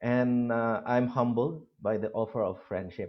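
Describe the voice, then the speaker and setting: A man with a Philippine accent at a medium pitch, fairly slow in pace. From Philippines, Abra province (Ilocos region). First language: Ilocano. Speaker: university lecturer. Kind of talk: lecture. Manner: halting, many fillers.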